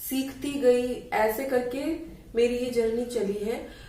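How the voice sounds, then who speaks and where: A woman with a high pitch and ordinary pitch variation speaks amid audible room echo. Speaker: yoga teacher. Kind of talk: tutorial. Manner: casual conversational.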